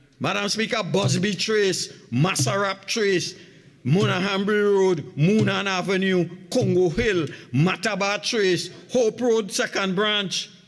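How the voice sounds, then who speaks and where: The man's pitch is high, with ordinary variation, and he speaks fairly slowly. His loudness stays very even throughout. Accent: Trinidadian. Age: 70s. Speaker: opposition member of parliament. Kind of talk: parliamentary budget debate speech. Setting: parliament chamber.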